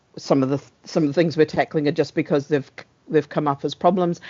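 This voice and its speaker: The speaker talks at a fairly quick pace with a New Zealand accent. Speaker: meeting host, service owner for transport data. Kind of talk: online meeting facilitation. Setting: video call. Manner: fast.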